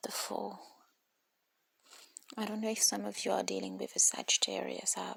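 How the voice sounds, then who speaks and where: The speaker whispers at a moderate pace, pausing long and often. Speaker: tarot reader. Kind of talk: tarot reading. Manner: hesitant with repetitions; whispering.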